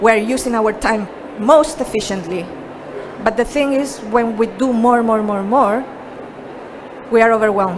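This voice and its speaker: A woman with a Chilean accent and fairly high pitch at a moderate pace, with ordinary pitch variation and long, frequent pauses, amid audible room echo and noticeable background noise. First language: Spanish. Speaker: productivity coach. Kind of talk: presentation.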